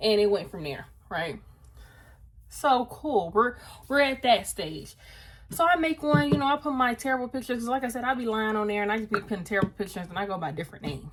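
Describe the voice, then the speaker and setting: Loud and animated, a woman talks at a very fast pace in a fairly high pitch with very wide pitch swings. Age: 20s. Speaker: lifestyle vlogger. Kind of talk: casual chat. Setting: home video, styling wig on camera.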